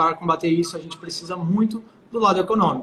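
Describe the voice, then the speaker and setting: The man speaks with a high pitch. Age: 20s. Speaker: political candidate. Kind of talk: interview. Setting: live stream.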